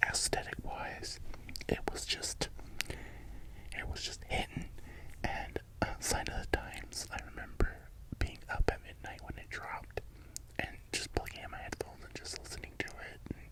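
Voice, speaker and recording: A man whispers at a moderate pace, his loudness swinging widely. Long, frequent pauses break up his speech against noticeable background noise. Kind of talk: casual talk to camera, ASMR-style vinyl collection show-and-tell. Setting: voiceover recorded after filming, with fans running.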